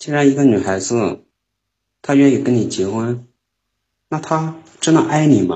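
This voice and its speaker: Talking at a fairly slow pace, a man with a Northeastern Chinese accent speaks at a medium pitch. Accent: Northeastern Mandarin. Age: 20s. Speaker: caller. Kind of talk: call-in conversation. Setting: call into live stream.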